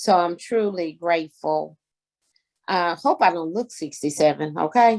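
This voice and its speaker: In a Southern US accent, a woman speaks at a medium pitch. Her pace is fairly slow, with ordinary pitch variation. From Arkansas. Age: 60s. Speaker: community activist and guest speaker. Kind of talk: talk at a community meeting.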